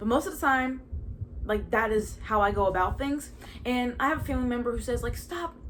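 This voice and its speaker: In an American accent, a woman speaks at a fairly quick pace amid audible room echo. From Baltimore, Maryland, US. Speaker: podcast host. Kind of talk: casual testimony monologue. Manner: halting, with stutters and fillers.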